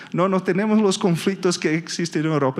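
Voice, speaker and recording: A man speaks with a Brazilian accent and ordinary pitch variation. Noticeable background noise runs behind him. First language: Portuguese (speaking Spanish). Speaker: energy industry analyst. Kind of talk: conference presentation. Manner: halting, with frequent fillers and repetitions.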